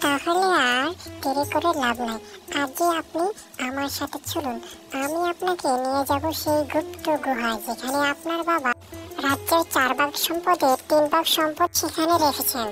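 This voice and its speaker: A cartoonish character voice at a high pitch plays over clear music in the background. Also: moderate pace. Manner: gentle, addresses others as friend.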